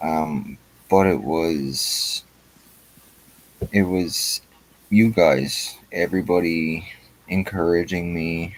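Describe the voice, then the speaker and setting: A man's delivery is very slow. Long pauses come often in his speech. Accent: Newfoundland. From Newfoundland, Canada. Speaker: YouTube auditor livestreamer. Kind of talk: casual livestream chat. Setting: online livestream.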